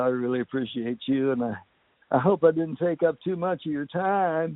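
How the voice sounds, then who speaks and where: At a moderate pace, a man with a West Virginia accent speaks with ordinary pitch variation. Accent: Appalachian West Virginia. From West Virginia, Harrison County. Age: 80s+. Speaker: country singer and actor. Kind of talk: interview.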